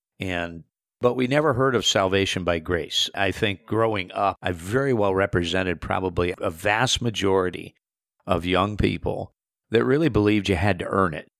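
A man with an Upper Midwest accent, fairly low in pitch with ordinary pitch variation, in a dry, close sound with no echo on a very clean recording with a silent background. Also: moderate pace. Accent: Upper Midwest American. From US Midwest, South Central Minnesota. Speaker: itinerant preacher. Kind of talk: testimony.

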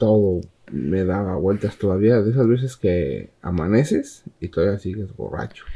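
A man's fairly low voice with a Mexican accent. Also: ordinary pitch variation. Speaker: podcast host. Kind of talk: casual chat. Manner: casual, laughing.

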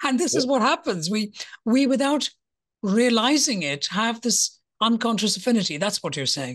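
Pitch swings very widely, with vocal fry in the voice. The pace is moderate and the background quiet. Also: woman, fairly high pitch for a woman. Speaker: podcast host. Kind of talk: interview conversation. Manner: warm.

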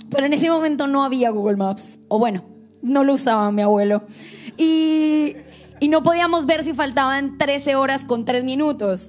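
Spoken with a Colombian accent, the voice keeps a very even loudness throughout. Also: woman, high pitch for a woman, ordinary pitch variation, moderate pace. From Colombia, Bogotá, coastal family. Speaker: church staff member. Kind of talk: devotional talk.

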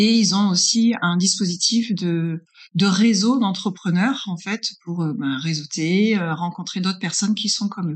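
A woman speaks at a fairly slow pace in a somewhat breathy voice. Her pitch is medium, with ordinary variation. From northern France. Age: 40s. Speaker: business consultant. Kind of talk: interview. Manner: hesitant, many fillers.

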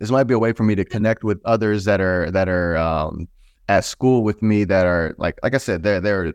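A man speaks in an unremarkable speaking voice with an American accent and ordinary pitch variation. The sound is dry and close with no echo, over a quiet background. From Texas. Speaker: streetwear brand founder. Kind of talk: interview.

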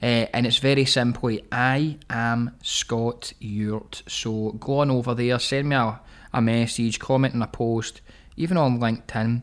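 An ordinary speaking voice from a man with a medium pitch comes at a fairly slow pace. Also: fairly even intonation. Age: 30s. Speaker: business podcast host. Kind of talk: solo podcast monologue. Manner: casual, many fillers and restarts.

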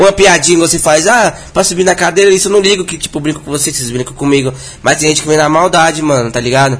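With noticeable background noise, a man speaks at a fairly quick pace, his fairly high pitch showing ordinary variation. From Brazil, Brasília. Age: 20s. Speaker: funk MC. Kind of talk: casual chat.

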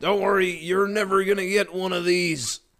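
A high-pitched, put-on character voice from a man, at a moderate pace. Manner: grouchy, gruff.

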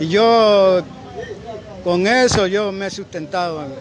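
Against noticeable background noise, a man talks in a high pitch. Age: 60s. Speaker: shoemaker. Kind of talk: interview.

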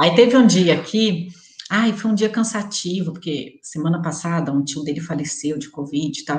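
A woman speaks with ordinary pitch variation. Noticeable background noise can be heard. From interior of Rio de Janeiro state, rural. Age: 30s. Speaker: air miles student sharing her experience. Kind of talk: interview. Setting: live stream video call.

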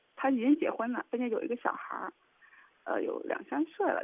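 Her voice sits high for a woman and swings across a very wide pitch range. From southern China. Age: 30s. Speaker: businesswoman. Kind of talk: call-in advice. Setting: phone call. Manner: halting. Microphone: heavy breathing audible, too close to phone mic.

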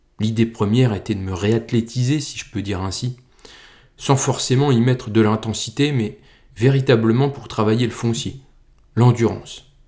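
Medium-pitched and somewhat breathy, a man with a dark, mellow tone and fairly even intonation speaks at a moderate pace with long, frequent pauses in a very clean recording with a silent background. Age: 30s. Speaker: podcast host, amateur trail runner. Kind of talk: personal narrative, scripted.

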